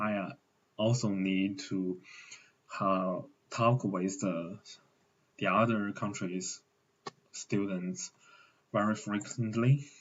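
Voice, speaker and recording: With a Mandarin accent, a man speaks very slowly at a fairly low pitch, his intonation fairly even. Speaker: translation student. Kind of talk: recorded self-presentation. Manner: halting with fillers.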